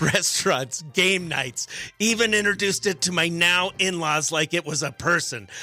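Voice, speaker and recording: Music plays in the background as a man speaks in a raised, projected voice. His pitch is high, his pace moderate, and his pitch variation ordinary. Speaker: radio morning show host. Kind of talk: radio show segment, reading a listener letter.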